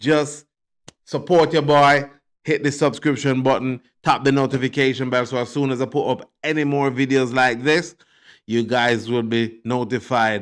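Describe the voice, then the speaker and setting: Set against a silent background on a very clean recording, a man speaks at medium pitch. His intonation is fairly even and his pace moderate. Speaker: YouTube commentator. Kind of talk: casual commentary monologue. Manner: mumbling; hesitant, many fillers.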